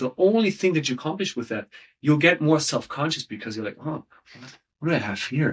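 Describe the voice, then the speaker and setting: Here is a man with a fairly high pitch and lively intonation. He has an unremarkable speaking voice. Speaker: storytelling coach. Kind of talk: interview.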